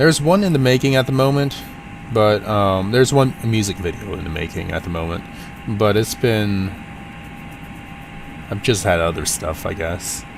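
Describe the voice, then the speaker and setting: Noticeable background noise accompanies a man with a fairly low pitch. He keeps a moderate pace, broken by long, frequent pauses. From US, Portland, Oregon. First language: Cantonese. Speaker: flight sim streamer. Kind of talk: casual live stream chat. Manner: halting.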